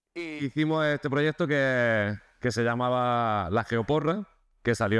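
A man's fairly slow speech comes over a quiet background. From Spain, Andalusia (Nerja, Málaga); Andalusia, Spain. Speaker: software engineer, conference speaker; conference speaker. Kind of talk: conference talk. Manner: hesitant, many repetitions and fillers. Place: hall.

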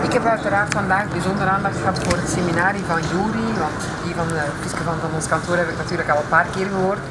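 A woman at a very fast pace over loud background noise. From Flanders. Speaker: seminar attendee, office worker. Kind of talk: testimonial interview. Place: street. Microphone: camera far.

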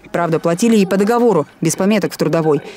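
A woman speaks at a very fast pace with lively intonation. Noticeable background noise runs underneath. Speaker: TV news reporter. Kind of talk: TV news report narration.

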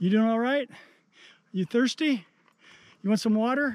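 A man's high voice at a moderate pace, dry with no echo, against a quiet background. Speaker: outdoor vlogger. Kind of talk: casual vlog narration. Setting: outdoors. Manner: panting. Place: open country. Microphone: phone near.

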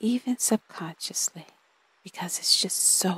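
A gentle, soothing tone at a fairly slow pace. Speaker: meditation guide. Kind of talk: guided meditation, soothing spoken affirmations and breath cues. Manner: slow, unhurried pacing with pauses between breath instructions; gentle, soothing and warmly reassuring, repetitive affirmations.

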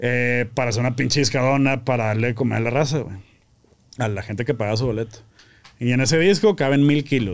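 A man rattles along very fast, his pitch varying in an ordinary way. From Monterrey, northern Mexico; Mexico. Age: 30s. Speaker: grilling association founder; podcast guest. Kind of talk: casual chat. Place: studio. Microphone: studio mic.

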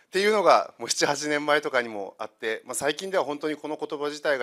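Quiet background behind a man talking. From Kyushu, Saga; Kyushu, Japan. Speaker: consultant; presenter. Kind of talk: lecture. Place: hall. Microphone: handheld.

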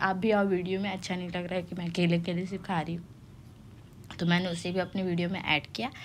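A woman speaks at a moderate pace in a flat, monotone voice with fairly low pitch, barely pausing, while room echo is audible. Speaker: vlogger. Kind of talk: vlog voice-over. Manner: casual, halting.

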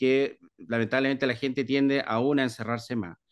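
Against a quiet background, a man talks at a moderate pace in a medium pitch. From Chile, Viña del Mar; Chile. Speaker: library director; interviewee. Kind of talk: interview. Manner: hesitant, many fillers. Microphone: video call.

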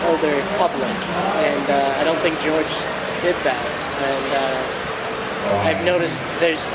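A man's voice is heard through loud background noise. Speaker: interviewee. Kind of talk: interview answer. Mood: relaxed, candid. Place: hall.

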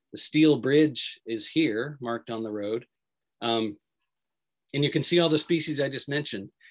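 An enthusiastic man speaks at a moderate pace, with a fairly high pitch and ordinary pitch variation. The background is quiet. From Feather River region, Northern California; Northern California. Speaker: wildlife biologist; presenter. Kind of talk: virtual presentation talk. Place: home room. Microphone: video call.

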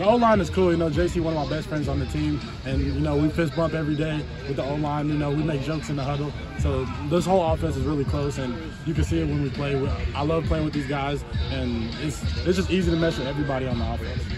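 Clear music plays in the background as this man speaks at a very fast pace. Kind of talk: interview answer. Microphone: handheld.

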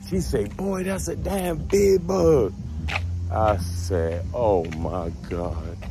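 Over noticeable background noise, a man with an American accent speaks at a very slow pace, the sound dry with no echo. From Baltimore, US. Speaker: storytelling vlogger. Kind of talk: casual storytelling, profane, conversational anecdote. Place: street. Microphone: phone near.

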